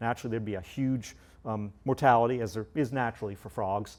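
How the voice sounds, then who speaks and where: A man's intonation stays fairly even while he talks fairly quickly. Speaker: zoo conservation scientist. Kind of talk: lecture. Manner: loud, projecting voice; halting, many fillers.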